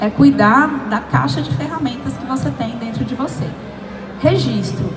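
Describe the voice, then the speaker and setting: With music in the background and audible room echo, a woman at a medium pitch speaks at a moderate pace in an animated tone, her pitch swinging very widely. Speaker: pitch coach and speaker. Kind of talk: workshop talk. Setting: event stage with audience, handheld mic.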